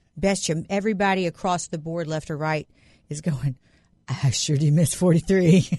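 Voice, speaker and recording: The voice is dark, mellow and somewhat breathy, with ordinary pitch variation. It moves at a moderate pace over a quiet background. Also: woman, fairly low pitch for a woman. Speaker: guest co-host sitting in. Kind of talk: casual political chat. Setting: studio.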